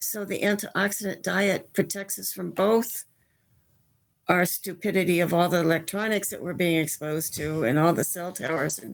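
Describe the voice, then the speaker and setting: Recorded very cleanly with a silent background, a woman speaks at a fairly low pitch with vocal fry and big swings in loudness. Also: ordinary pitch variation, moderate pace. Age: 80s+. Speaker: medical researcher and author. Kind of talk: interview.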